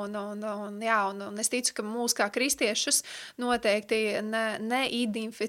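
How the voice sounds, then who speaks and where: A woman with a bright, sharp tone and fairly even intonation is heard on a very clean recording with a silent background. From Latvia, Riga. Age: 30s. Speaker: Bible school teacher. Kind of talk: radio interview; lecture.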